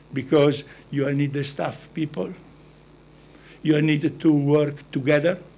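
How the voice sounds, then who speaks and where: With an Italian accent, a man talks at a fairly slow pace in a fairly high pitch. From Italy. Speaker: business founder. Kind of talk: talk to an audience. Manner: halting.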